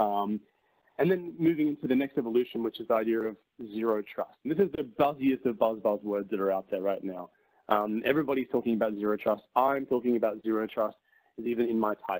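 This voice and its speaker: A man's medium-pitched voice with an Australian accent, at a very fast pace with ordinary pitch variation, in a dry, close sound with no echo. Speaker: tech company presenter. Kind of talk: webinar presentation. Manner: frequent fillers and repetitions.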